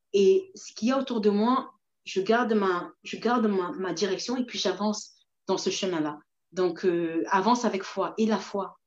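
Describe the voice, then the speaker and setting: A woman at a medium pitch and a moderate pace. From Mayotte, moved to France at 7. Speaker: entrepreneur and researcher. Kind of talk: interview on a live video stream. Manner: hesitant, many fillers and repetitions.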